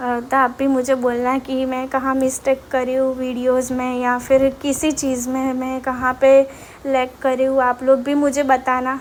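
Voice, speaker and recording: Monotone, flat delivery with hardly any pauses, over noticeable background noise. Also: woman, high pitch for a woman. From Gujarat, India. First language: Gujarati (speaking Hindi). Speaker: vlogger. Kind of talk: walking vlog tour. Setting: outdoors on street. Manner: casual, hesitant with fillers.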